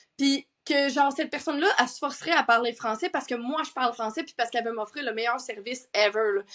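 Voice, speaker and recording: A woman with a Quebec accent speaks very fast in a high, animated voice, with ordinary pitch variation and big swings in loudness. The recording is very clean, with a silent background. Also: hardly any pauses. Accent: Québécois French. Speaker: sleep coach and entrepreneur. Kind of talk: casual chat.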